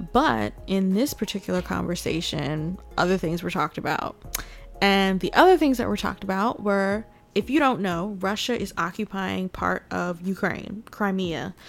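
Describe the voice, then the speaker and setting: A woman at medium pitch and a moderate pace, animated in tone with lively intonation, over music in the background. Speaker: podcast host. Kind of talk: news commentary monologue. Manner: animated, opinionated.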